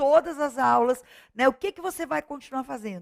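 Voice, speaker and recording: A woman's high, bright, sharp voice with a dry, close sound and no echo. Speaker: online course teacher for civil service exams. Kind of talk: lecture.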